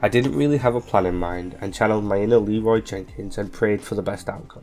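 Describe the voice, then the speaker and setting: A man talks at a fairly quick pace in a fairly low pitch with ordinary pitch variation, music playing in the background. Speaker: gaming video narrator. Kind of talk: video game playthrough narration. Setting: home recording with computer fan noise.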